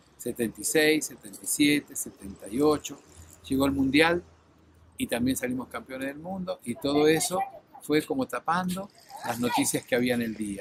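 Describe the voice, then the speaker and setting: A man talks with lively intonation at a fairly high pitch. There is noticeable background noise. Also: moderate pace. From Argentina. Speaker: former air force officer. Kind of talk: testimony.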